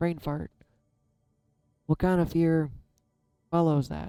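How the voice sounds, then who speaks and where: With music in the background, a woman speaks with fairly even intonation. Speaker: tarot reader. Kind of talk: tarot reading monologue.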